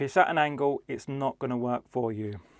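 Speaking at a moderate pace, a man lets his pitch vary in an ordinary way. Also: dry sound with no echo. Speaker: DJ product reviewer. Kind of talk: product review vlog. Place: studio. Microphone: lapel.

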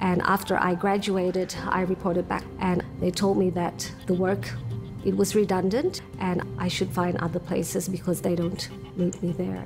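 With clear music in the background, a woman talks at a moderate pace in a fairly low pitch, keeping her intonation fairly even and her loudness very even. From Sydney, Australia (until 14), Indonesian family. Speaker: university lecturer, English teacher. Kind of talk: interview answer. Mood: reflective, earnest. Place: home room. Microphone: lapel.

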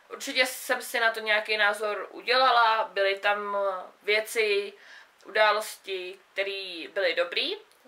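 A very slow delivery in a bright, sharp tone with fairly even intonation. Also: woman, fairly high pitch for a woman. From South Bohemia, Czechia. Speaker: book vlogger. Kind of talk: casual book review monologue. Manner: casual, hesitant with fillers. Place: home room. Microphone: camera far.

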